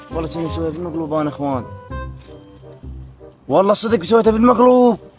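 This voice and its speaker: With music in the background, a man with an Iraqi accent speaks at a fairly high pitch with lively intonation. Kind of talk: casual talk to camera.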